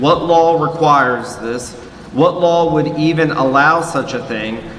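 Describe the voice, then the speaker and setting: Moderately paced speech with ordinary pitch variation comes through with audible room echo and noticeable background noise. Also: man. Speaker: forum moderator. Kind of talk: panel moderation. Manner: loud.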